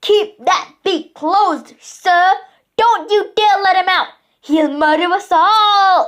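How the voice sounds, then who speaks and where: Putting on a character voice, a woman bellows at an extremely high pitch with ordinary pitch variation. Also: fairly slow pace, very even loudness. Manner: bellowing, commanding.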